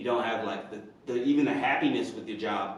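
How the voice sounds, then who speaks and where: Audible room echo and noticeable background noise surround this man. He has an American accent, medium pitch and lively intonation. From Indiana. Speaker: personal trainer and vlogger. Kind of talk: personal vlog monologue. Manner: hesitant, many fillers.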